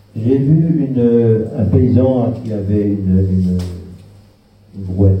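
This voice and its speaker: Noticeable background noise fills the clip. Over it, a man speaks with ordinary pitch variation. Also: big swings in loudness. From Germany. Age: 80s+. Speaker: Holocaust survivor witness. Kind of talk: testimony talk to an audience.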